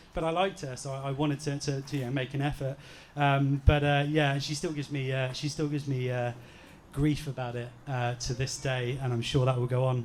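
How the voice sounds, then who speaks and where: At a fairly quick pace, a man talks in a fairly high pitch with monotone, flat intonation. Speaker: groom. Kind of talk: wedding speech. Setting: wedding reception with audience. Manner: halting.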